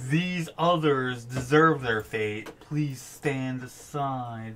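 Using a put-on character voice, a man sounds guttural at a medium pitch. He moves at a very slow pace. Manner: menacing, commanding.

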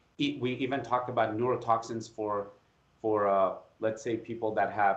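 A man speaks with an American accent and fairly even intonation. Room echo is audible. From Iran. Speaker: facial plastic surgeon and anatomy educator; educator, podcast guest. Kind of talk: interview. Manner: halting, frequent repetitions. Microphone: video call.

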